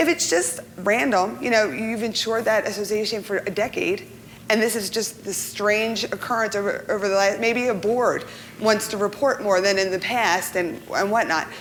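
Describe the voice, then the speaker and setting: A woman at a fairly high pitch, over noticeable background noise. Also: ordinary pitch variation. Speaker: insurance professional panelist. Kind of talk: seminar presentation. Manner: fast.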